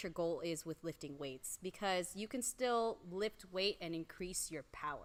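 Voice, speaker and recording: Loud and bright with a sharp tone, a woman talks at a fairly slow pace while her pitch swings very widely. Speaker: strength coach and powerlifter. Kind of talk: casual chat.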